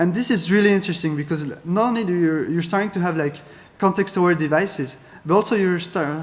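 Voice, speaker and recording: A high-pitched man with a French accent, very fast pace, fairly even intonation, audible room echo. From France. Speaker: keynote speaker, data scientist. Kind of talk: conference keynote. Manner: halting, many fillers.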